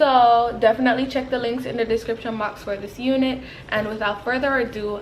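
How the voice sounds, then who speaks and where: A woman with a fairly high pitch and fairly even intonation speaks with audible room echo. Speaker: beauty vlogger. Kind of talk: product review voiceover. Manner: slow.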